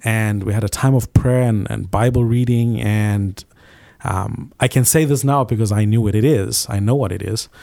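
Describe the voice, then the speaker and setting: A man with a dark, mellow tone and fairly low pitch talks at a moderate pace on a very clean recording with a silent background. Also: fairly even intonation. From Zimbabwe. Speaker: business owner and youth pastor. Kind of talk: testimony. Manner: halting.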